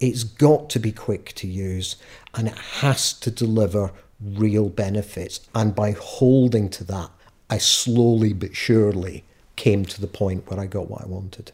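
With a west of Scotland accent, a man speaks at a fairly slow pace in a fairly low, somewhat breathy voice, with fairly even intonation and big swings in loudness. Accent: west of Scotland Scottish. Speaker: charity consultant. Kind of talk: interview. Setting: at home.

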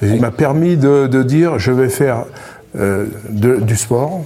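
A man's voice with very wide pitch swings. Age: 60s. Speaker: retired family caregiver. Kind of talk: testimony. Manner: halting, repeats words.

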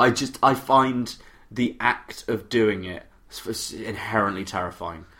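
A man speaks in a normal speaking voice at medium pitch. His pace is fairly slow, with ordinary pitch variation. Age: 20s. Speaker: podcast co-host. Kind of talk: casual chat.

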